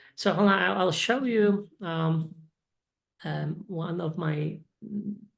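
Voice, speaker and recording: A woman's fairly low voice with a Polish accent, at a very slow pace with long, frequent pauses and ordinary pitch variation. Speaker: English teacher. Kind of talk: casual chat. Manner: halting.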